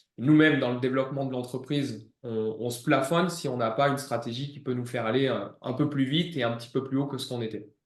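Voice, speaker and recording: The speech runs at a very fast pace with fairly even intonation and audible room echo. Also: man. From southeastern France, Ardèche/Drôme near Valence. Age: 30s. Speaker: gym manager and former fitness coach. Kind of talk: client testimonial interview. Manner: hesitant, many fillers.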